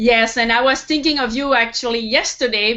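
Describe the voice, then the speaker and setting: A woman with a French accent at a moderate pace. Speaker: web TV host. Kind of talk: interview.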